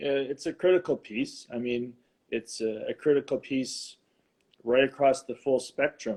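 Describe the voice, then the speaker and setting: With a Ukrainian accent, the speaker goes at a moderate pace and uses ordinary pitch variation. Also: man, fairly high pitch for a man. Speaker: married guest on couples show. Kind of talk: interview conversation. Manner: halting.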